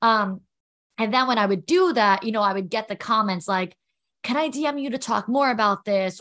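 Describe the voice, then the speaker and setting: Speech comes at a very fast pace with an American accent and ordinary pitch variation. The background is quiet. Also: woman. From New York. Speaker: entrepreneur and confidence coach. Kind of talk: casual interview.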